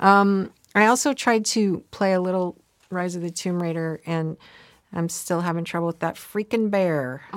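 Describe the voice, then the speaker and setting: A woman with a normal speaking voice talks at a moderate pace in a fairly low pitch, with ordinary pitch variation. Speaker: publisher and co-host. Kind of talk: casual chat.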